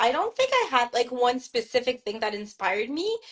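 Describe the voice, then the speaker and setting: Here a woman speaks in a French Canadian accent at a high pitch. Her pace is moderate, and her pitch variation is ordinary. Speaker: author. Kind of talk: interview. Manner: hesitant, many fillers and restarts.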